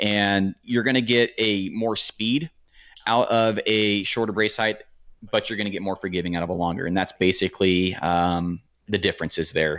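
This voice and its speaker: At a moderate pace, a man with a fairly low pitch talks in a plain, everyday voice with ordinary pitch variation. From Oregon. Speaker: archery YouTuber. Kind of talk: casual chat.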